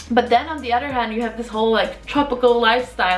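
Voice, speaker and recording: A woman's fairly high voice over music in the background. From Poland. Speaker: travel vlogger. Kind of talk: casual talk to camera.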